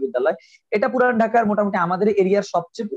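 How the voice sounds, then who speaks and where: A man speaks with a dry, close sound and no echo. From Old Dhaka, Bangladesh. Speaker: university alumnus, theater actor and IELTS trainer. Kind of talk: casual interview. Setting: live online stream.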